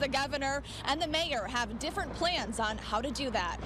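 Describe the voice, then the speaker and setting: Noticeable background noise sits under a woman's high-pitched voice. She talks at a moderate pace. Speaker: TV news reporter and anchor. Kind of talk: TV news anchoring and field reporting.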